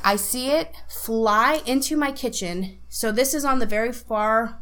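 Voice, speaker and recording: A woman's fairly high-pitched voice in an animated tone, with audible room echo. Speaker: podcast co-host; stage actor. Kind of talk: casual chat.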